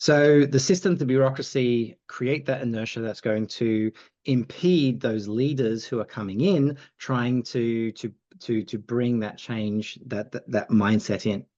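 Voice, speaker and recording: Speaking with an Australian accent, a man uses a dark, mellow tone at a fairly slow pace with ordinary pitch variation. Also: medium pitch for a man. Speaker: agility institute co-founder. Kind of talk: podcast interview. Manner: halting, many fillers.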